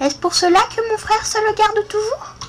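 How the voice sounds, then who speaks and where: Using a put-on character voice, a woman speaks in a squeaky, extremely high pitch at a fairly quick pace over clear background noise. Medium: read story.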